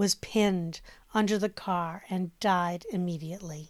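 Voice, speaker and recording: An ordinary speaking voice moves at a fairly slow pace with fairly even intonation, captured on a very clean recording against a silent background. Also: woman. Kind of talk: scripted ghost story narration, hushed and eerie. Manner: measured, grave, suspenseful storytelling pace; formal, even and polished.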